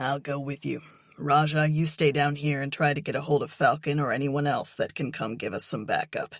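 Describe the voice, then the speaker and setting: A raspy, put-on character voice at a low-to-middle pitch runs at a fairly quick pace in a very clean recording with a silent background. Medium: read story. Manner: blunt, gruff.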